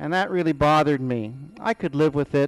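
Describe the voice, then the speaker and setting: This is a plain, everyday voice, a man's, fairly high in pitch with ordinary pitch variation and a dry, close sound with no echo. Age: 60s. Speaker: school principal, patient testimonial. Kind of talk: testimony.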